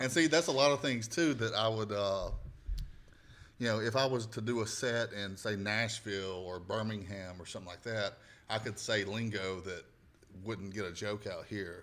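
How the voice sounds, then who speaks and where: A man with a strong Southern US accent speaks at a moderate pace. His voice is fairly low, with ordinary pitch variation. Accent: thick Southern. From US South, northwest Alabama. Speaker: comedian and podcast host. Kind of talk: casual chat.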